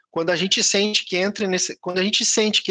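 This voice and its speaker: A man speaks fairly quickly in a raised, projected voice with a bright, sharp tone. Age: 40s. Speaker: tech entrepreneur, guest speaker. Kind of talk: online live talk with Q&A.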